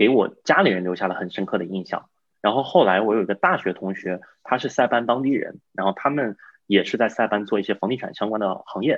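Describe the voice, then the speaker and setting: The speaker has a normal speaking voice with ordinary pitch variation. The pace is fairly quick. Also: man, fairly low pitch for a man. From China. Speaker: real estate investor. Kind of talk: interview.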